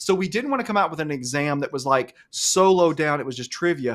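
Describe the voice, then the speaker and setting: Animated in tone, a man with an Alabama accent speaks at a fairly high pitch with ordinary pitch variation. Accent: Southern US (Alabama). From US South, Alabama. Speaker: cloud instructor and live show host. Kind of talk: live webinar chat. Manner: fast.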